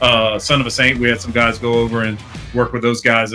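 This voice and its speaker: Faint music plays behind the speaker. He is a man, and his pace is fairly quick. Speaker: show host. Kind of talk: podcast host intro. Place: studio. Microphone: studio mic.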